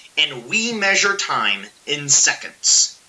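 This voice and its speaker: A man speaks over noticeable background noise. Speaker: physics teacher. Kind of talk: lecture. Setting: recorded video lesson. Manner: casual.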